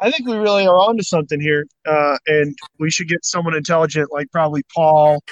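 A man with an American accent speaks in a normal speaking voice at a moderate pace, fairly high in pitch, the sound dry and close with no echo. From Missouri. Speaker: podcast co-host. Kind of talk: casual chat.

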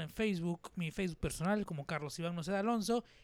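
This man talks with ordinary pitch variation. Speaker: podcast host and musician. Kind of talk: casual chat. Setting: studio with cameras.

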